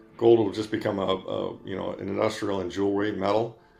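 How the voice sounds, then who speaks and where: A man speaks at a fairly quick pace. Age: 60s. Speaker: investment manager. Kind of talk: interview. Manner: halting, many fillers and restarts.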